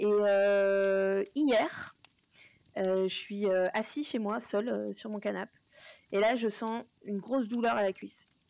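The speech moves at a very slow pace with long, frequent pauses. Pitch variation is ordinary. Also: woman, medium pitch for a woman. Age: 40s. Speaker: paranormal podcast co-host. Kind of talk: casual chat.

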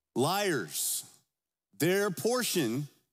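The speaker's intonation rises and falls in a lively way. Music plays in the background. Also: man. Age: 50s. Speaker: pastor. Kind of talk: Sunday sermon, expository preaching with scripture read aloud to a congregation. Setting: church service before a congregation. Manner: conversational and informal, with filler words and self-corrections; earnest, emphatic pulpit delivery with rhetorical call-and-response questions.

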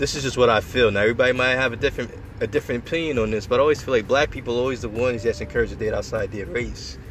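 A man talks over noticeable background noise. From New York, Long Island. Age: 20s. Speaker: podcaster. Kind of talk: casual monologue. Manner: hesitant, many fillers.

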